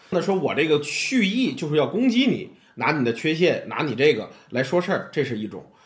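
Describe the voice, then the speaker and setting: A man in a Tianjin accent, animated in tone, fairly high-pitched, with very wide pitch swings. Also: fairly quick pace. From Tianjin, China. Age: middle-aged. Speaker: amateur storyteller and comedy fan. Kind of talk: casual chat.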